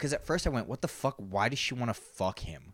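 Talking at a very fast pace, a man sounds animated, with ordinary pitch variation. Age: 30s. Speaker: podcast co-host. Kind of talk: casual chat.

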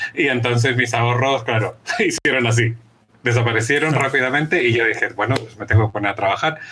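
Noticeable background noise sits under very fast speech with fairly even intonation. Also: man, medium pitch for a man. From Chile. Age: 40s. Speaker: journalist and author. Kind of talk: interview.

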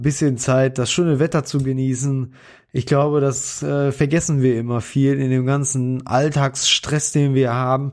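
A man at medium pitch and a moderate pace, in a very clean recording with a silent background. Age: 30s. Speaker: podcast co-host, hobbyist. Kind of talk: casual chat. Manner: hesitant with many fillers.

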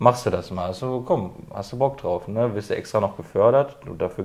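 A man's medium-pitched voice at a fairly quick pace with hardly any pauses, over a quiet background. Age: 20s. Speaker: apprentice painter and decorator. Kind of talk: casual chat.

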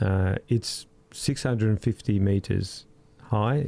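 The man's tone is dark and mellow, with fairly even intonation. He speaks with an Australian accent. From Australia, Cypriot parents. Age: 50s. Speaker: research scientist and documentary maker. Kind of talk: casual interview.

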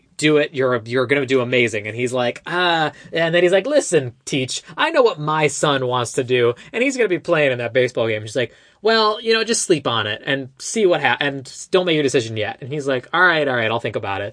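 With hardly any pauses, a man talks at a fairly quick pace in an ordinary speaking voice, fairly high in pitch with lively intonation. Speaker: podcast host. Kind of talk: casual chat.

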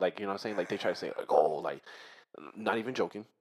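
A man speaks with fairly even intonation. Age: 20s. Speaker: podcast host. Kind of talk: casual chat.

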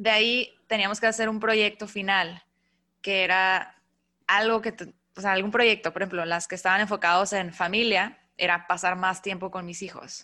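Recorded very cleanly over a silent background, a woman with a medium pitch and a bright, sharp tone speaks at a moderate pace in a monotone, flat way. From northern Mexico, Mexicali. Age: 30s. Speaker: podcast host. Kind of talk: casual chat.

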